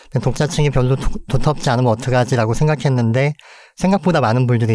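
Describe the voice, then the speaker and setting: A man talks at a very fast pace. His tone is dark and mellow, with ordinary pitch variation. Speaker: physician and medical anthropologist. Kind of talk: interview.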